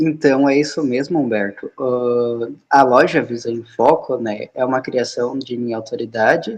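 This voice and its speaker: A man speaks at a fairly slow pace in a plain, everyday voice with ordinary pitch variation. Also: medium pitch for a man. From Rio Grande do Sul, Brazil. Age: 20s. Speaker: app developer and trainer. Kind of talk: live video interview. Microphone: phone held at shoulder height, wearing earphones.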